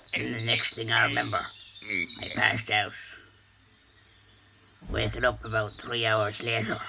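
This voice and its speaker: A man does a put-on character voice at medium pitch and a moderate pace, leaving long, frequent pauses. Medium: comedy sketch. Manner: solemn, deadpan.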